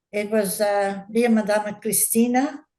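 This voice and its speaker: Her fairly high pitch and dark, mellow tone carry an Australian accent as the woman speaks with fairly even intonation. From Australia (Queensland, then Adelaide and Sydney). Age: 80s+. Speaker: elderly interviewee recalling migrant childhood. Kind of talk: casual interview.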